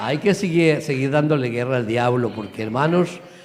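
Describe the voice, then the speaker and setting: The man's voice sits at a medium pitch with ordinary pitch variation. Audible room echo surrounds it. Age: 60s. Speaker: pastor. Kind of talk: church greeting. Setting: church. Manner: animated.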